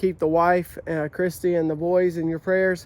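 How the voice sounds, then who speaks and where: A man with a Southern US accent and a high pitch talks at a moderate pace in a flat monotone. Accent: US South. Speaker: YouTuber, amateur race car builder. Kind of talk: casual vlog talk.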